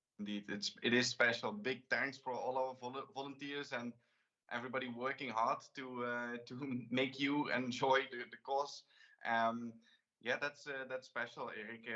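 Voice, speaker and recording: A man with a Limburg accent, medium pitch and a bright, sharp tone, flat and monotone at a moderate pace. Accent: Dutch (Limburg) accent in English. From Netherlands, Limburg. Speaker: talk show host. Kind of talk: interview. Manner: halting.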